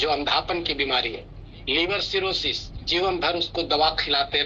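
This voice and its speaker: A man's intonation stays fairly even, with noticeable noise in the background. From India, Bihar (Nawada). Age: 60s. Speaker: retired officer giving customer testimonial. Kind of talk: testimony.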